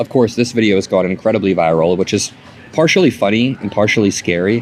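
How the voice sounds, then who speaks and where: Quiet speech rushes by at a very fast pace, its pitch varying in an ordinary way. Noticeable background noise sits behind it. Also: man. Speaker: political commentator. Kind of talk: vlog monologue. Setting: airport. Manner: speaking quietly.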